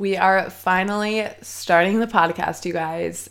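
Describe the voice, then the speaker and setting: A woman's fairly low voice with fairly even intonation at a fairly slow pace, in a very clean recording with a silent background. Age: 20s. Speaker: podcast host and content creator. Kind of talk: solo casual chat. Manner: chatty, relaxed.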